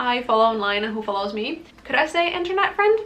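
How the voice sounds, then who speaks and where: Over noticeable background noise, a woman talks in a high-pitched voice. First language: not English. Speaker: book youtuber. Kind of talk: casual book talk vlog. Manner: casual, filler-heavy.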